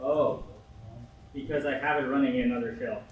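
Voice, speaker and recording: There is audible room echo and noticeable background noise around the man speaking. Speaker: workshop instructor. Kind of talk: tutorial.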